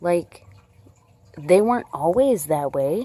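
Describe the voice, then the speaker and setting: A woman speaks with a slight Chicago accent, her tone animated. Her pitch swings very widely at a fairly slow pace. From Chicago area. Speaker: crochet vlogger. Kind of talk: casual chat.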